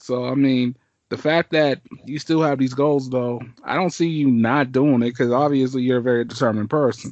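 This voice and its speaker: An unremarkable speaking voice from a man, medium in pitch, at a moderate pace with fairly even intonation. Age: 20s. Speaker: podcast host. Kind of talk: casual chat.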